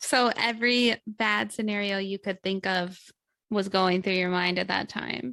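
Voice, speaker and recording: A woman with a Midwestern accent speaks at a fairly slow pace, her pitch medium and her tone bright and sharp. The recording is very clean, with a silent background. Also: ordinary pitch variation, dry, close sound with no echo. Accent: Midwestern, nasal. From US Midwest. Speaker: podcast co-host. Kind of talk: casual chat.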